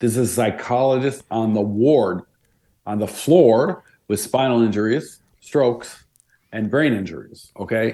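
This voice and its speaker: This man has a dark, mellow tone at medium pitch. He speaks at a moderate pace with ordinary pitch variation. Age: 70s. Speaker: arts administrator and author, former dancer. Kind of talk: interview.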